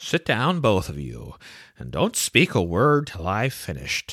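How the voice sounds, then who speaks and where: Using a put-on character voice, a man speaks at a fairly low pitch with very wide pitch swings and a moderate pace. The recording is very clean with a silent background. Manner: solemn, mournful.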